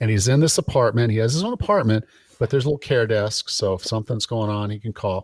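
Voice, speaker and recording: A man speaks at a fairly quick pace with lively intonation in a somewhat breathy, medium-pitched voice. The sound is dry and close with no echo on a very clean recording with a silent background. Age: 50s. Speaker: personal trainer and fitness podcast host. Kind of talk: casual interview chat.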